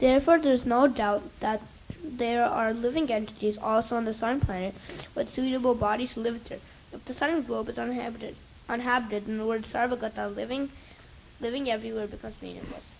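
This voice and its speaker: A put-on character voice mumbles at a very fast pace with fairly even intonation and big swings in loudness. Light background noise sits behind it. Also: woman, fairly high pitch for a woman. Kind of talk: reading aloud from a text. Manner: reading too fast, mumbling.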